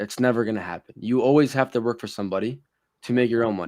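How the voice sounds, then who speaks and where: Against a quiet background, a man with a medium pitch speaks at a very fast pace. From US, Syrian-born (moved at four). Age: 20s. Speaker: online sales entrepreneur. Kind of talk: podcast interview.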